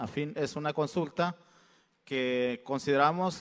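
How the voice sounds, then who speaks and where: A man is speaking at a fairly high pitch. His pitch variation is ordinary. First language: Mixtec (speaking Spanish). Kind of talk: public address at consultation. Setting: state congress hall. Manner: halting, with fillers.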